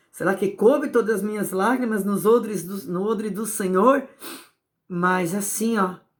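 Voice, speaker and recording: In a very clean recording with a silent background, a woman speaks at a fairly slow pace and medium pitch in a plain, everyday voice with ordinary pitch variation. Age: 60s. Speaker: evangelical preacher. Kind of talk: sermon.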